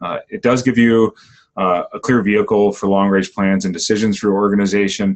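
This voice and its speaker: A man's voice, fairly low in pitch. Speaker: workshop facilitator. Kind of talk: webinar presentation. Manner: fast.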